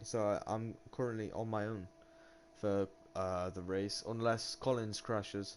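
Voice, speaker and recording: An ordinary speaking voice from a man, fairly low in pitch, fairly slow, with fairly even intonation. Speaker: sim racing league commentator. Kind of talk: live commentary. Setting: live stream.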